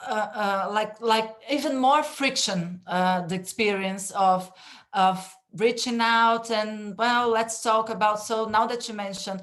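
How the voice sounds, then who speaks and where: Woman with a Brazilian Portuguese accent, fairly high pitch, fairly slow pace, audible room echo. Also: fairly even intonation. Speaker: panel moderator. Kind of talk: online panel discussion. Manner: halting, many fillers.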